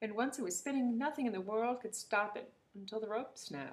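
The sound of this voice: Pitch moves in an ordinary way. The delivery is an unforced reading voice.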